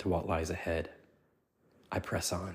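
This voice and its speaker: A somewhat breathy male voice on a very clean recording with a silent background. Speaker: devotional podcast host. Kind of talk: devotional talk. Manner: hesitant with fillers.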